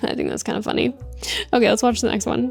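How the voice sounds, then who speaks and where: Noticeable background noise sits behind the recording. The speaker is a woman. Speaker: YouTuber. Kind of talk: reaction video commentary. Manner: casual, uses many fillers.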